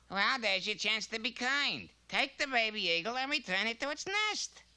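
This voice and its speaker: Speaking at a moderate pace, a female-sounding cartoonish character voice pitches fairly high. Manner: sly, mocking, fast.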